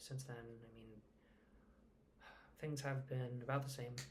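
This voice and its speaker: A soft-spoken man talks in a flat monotone at a medium pitch. His voice is somewhat breathy, with audible room echo. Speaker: vlogger. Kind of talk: personal vlog. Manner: halting.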